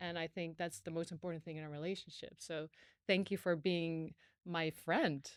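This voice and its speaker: A woman speaks with a Dutch accent. The recording is very clean, with a silent background. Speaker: podcast host, former TV presenter. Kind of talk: casual chat.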